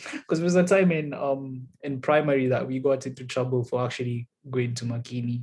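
A man's somewhat breathy voice goes at a moderate tempo. His intonation stays fairly even. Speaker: podcast host. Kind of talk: casual chat.

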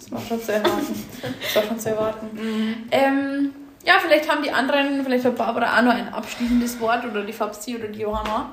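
Amid noticeable background noise and audible room echo, a woman with a Bavarian accent talks at a fairly quick pace and fairly high pitch, with ordinary pitch variation and big swings in loudness. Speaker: podcast co-host. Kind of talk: casual chat. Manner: laughs often.

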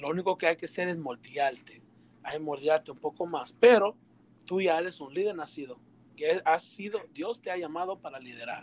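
A man's fairly high-pitched voice at a moderate pace, with ordinary pitch variation and a plain, everyday voice. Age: 20s. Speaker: church youth leader. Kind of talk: casual chat.

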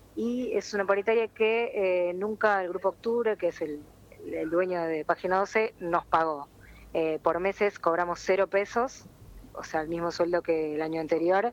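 An unremarkable speaking voice with ordinary pitch variation moves at a fairly slow pace. The sound is dry and close, with no echo. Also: woman, medium pitch for a woman. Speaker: press worker and union spokesperson. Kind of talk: phone interview.

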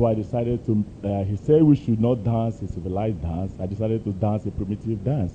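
Speaking at a fairly quick pace, a man has a dark, mellow tone, fairly low pitch, ordinary pitch variation and a somewhat breathy quality. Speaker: congregation member. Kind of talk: testimony. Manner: halting.

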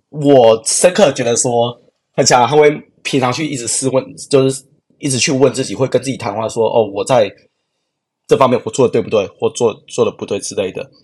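A man speaks in a plain, everyday voice. His pace is fairly quick. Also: medium pitch for a man, ordinary pitch variation. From Taiwan, Yunlin. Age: 20s. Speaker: product designer. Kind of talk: interview conversation.

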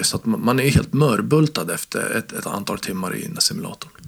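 Lively intonation from a man amid noticeable background noise. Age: 40s. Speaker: games magazine editor-in-chief. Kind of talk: casual chat. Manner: halting.

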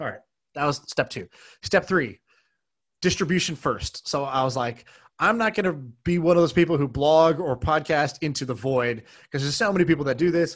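A man's plain, everyday voice, fairly high in pitch with ordinary variation, at a fairly quick pace over a quiet background. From moved around; US (Oklahoma, Texas, Colorado), then Beijing. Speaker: entrepreneur and podcaster. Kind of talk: casual interview chat.

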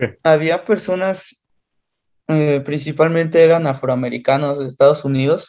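A fairly high-pitched man with a Mexican accent, moderate pace and fairly even intonation. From Mexico City area. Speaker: engineering student. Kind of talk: casual chat.

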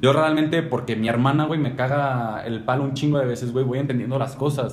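Noticeable background noise and audible room echo surround a man's voice. He speaks at a fairly quick pace with a medium pitch. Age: 20s. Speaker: podcast co-host. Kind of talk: casual chat.

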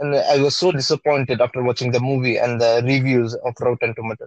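A man speaks at a fairly quick pace with a Bengali accent. His pitch is medium, and the sound is dry and close with no echo. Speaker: podcast co-host. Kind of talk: casual chat.

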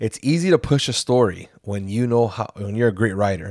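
A man's ordinary speaking voice at medium pitch, with ordinary pitch variation, in a dry, close, echo-free recording that is very clean with a silent background. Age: 40s. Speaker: teacher and podcast co-host. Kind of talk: casual chat.

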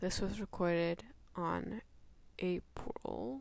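A woman whispers at a very slow pace. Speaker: podcast host. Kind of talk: casual chat. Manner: whispery; talkative.

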